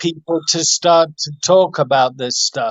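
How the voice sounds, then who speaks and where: A man talks in a high voice. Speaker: rehab center director. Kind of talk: live-stream Q&A. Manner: shaky voice.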